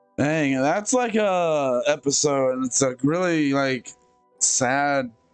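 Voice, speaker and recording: A man speaks at a very slow pace. The sound is dry with no echo, and faint music plays in the background. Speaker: reaction video creator. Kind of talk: casual reaction commentary. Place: home room. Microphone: headset.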